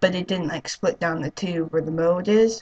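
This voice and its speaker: A woman talks at a moderate pace in a somewhat breathy, fairly low voice. Her intonation stays fairly even. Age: 20s. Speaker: vlogger, hard of hearing. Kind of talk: casual vlog monologue. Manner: halting, many fillers.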